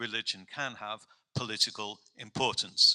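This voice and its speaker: With an English accent, a man speaks at a moderate pace in a bright, sharp tone, the sound dry and close with no echo. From England. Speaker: professor. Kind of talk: informative presentation.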